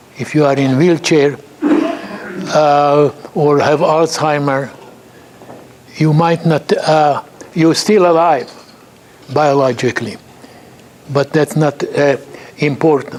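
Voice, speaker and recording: A man with a fairly high voice speaks very slowly, leaving long, frequent pauses, his intonation fairly even over noticeable background noise. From Hungary. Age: 80s+. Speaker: chemist. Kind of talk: lecture. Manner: halting.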